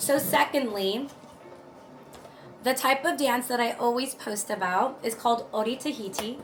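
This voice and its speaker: A woman speaks in a high pitch with an American accent and ordinary pitch variation. Music plays in the background. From Los Angeles, US. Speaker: lifestyle and body positivity content creator. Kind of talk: casual get-to-know-me vlog. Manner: animated.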